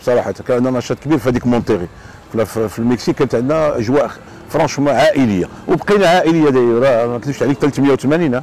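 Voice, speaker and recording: A man talks at a very fast pace with ordinary pitch variation and a dry sound with no echo. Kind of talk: interview answer. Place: waterside. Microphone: lapel.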